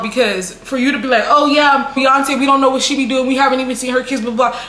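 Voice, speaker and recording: Over noticeable background noise, a woman speaks in a raised, projected voice at a high pitch. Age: 20s. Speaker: content creator. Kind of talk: casual talk to camera.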